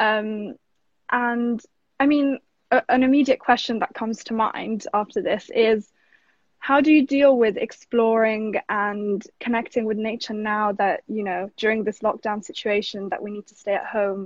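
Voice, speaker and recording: In a plain, everyday voice, a woman speaks at a moderate pace and a fairly high pitch, with fairly even intonation and big swings in loudness, the sound dry and close with no echo against a quiet background. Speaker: art talk host. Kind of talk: casual interview chat. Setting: live stream video call.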